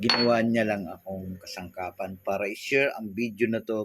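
A man speaks at a moderate pace with an unremarkable speaking voice. His pitch moves with ordinary variation. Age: 60s. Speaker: vlogger. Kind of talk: inspirational monologue.

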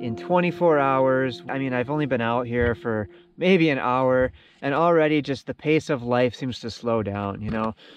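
A man speaking at a fairly slow pace, ordinary pitch variation, dry sound with no echo and faint music in the background. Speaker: solo camper vlogger. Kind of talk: casual vlog chat. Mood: calm, reflective. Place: boat. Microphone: phone near.

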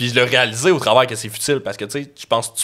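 Over a quiet background, a man talks at a very fast pace in a bright, sharp tone with fairly even intonation. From Quebec. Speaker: podcast host. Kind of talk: casual interview. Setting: studio. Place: studio. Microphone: studio mic.

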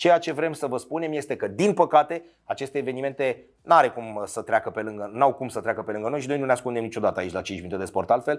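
Against a quiet background, a man at medium pitch talks at a very fast pace with lively intonation and hardly any pauses. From Romania. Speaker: sports storyteller. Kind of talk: scripted narration. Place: studio. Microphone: lapel.

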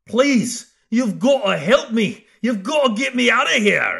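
Putting on a character voice, a man speaks at an extremely high pitch. He goes at a fairly slow pace. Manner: pleading, desperate.

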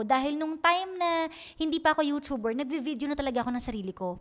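A woman talks at a very fast pace and a high pitch. Her intonation is lively. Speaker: radio DJ and YouTuber. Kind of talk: casual chat.

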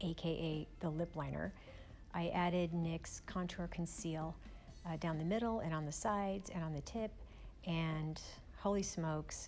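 With music in the background, a woman speaks at a moderate pace and a fairly low pitch, her intonation fairly even. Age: 60s. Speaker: beauty vlogger. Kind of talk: makeup tutorial voiceover.

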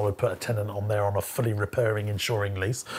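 A man speaks with a British accent and a fairly low pitch. Light background noise sits under his voice. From UK. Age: 30s. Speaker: entrepreneur and property investor; business coach. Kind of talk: educational vlog monologue. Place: studio. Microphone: lapel.

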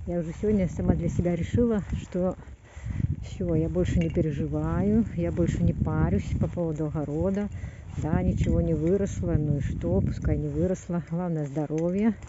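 A woman talks at a moderate pace with a dry sound and no echo. Loud background noise runs behind her. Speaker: gardener vlogger. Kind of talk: casual vlog chat. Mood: resigned, relaxed about garden. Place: garden. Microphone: phone near.

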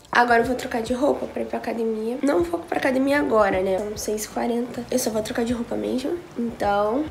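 There is light background noise as a woman talks at a fairly quick pace with hardly any pauses. Her pitch variation is ordinary. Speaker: youtuber. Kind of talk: casual vlog chat.

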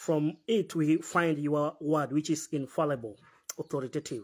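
A man speaks at moderate speed. Behind him, all is quiet. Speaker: preacher leading a Bible fellowship. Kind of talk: prayer and sermon. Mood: earnest, devout. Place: hall. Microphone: phone near.

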